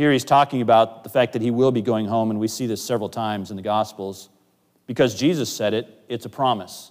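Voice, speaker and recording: Over a very clean recording with a silent background, a man with an American accent and an ordinary speaking voice talks at a fairly quick pace in a medium pitch, his intonation fairly even. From US Pacific Northwest. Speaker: pastor. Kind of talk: sermon. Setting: church.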